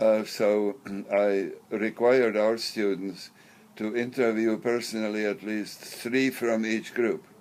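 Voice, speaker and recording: In a flat monotone, the speaker talks very slowly over noticeable background noise. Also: man, medium pitch for a man. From Czechoslovakia. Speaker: professor. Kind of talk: interview. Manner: halting.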